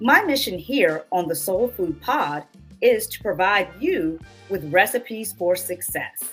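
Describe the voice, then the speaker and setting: A woman at medium pitch, slowish in pace, with lively intonation and big swings in loudness, with music in the background. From Southern United States. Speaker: cookbook author and food blogger; podcast host. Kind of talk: podcast intro. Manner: upbeat.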